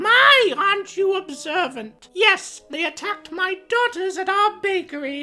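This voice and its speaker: A squeaky, put-on character voice sounds female and extremely high-pitched. It goes at a fairly slow pace with hardly any pauses. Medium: actual play. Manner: sweet, sly.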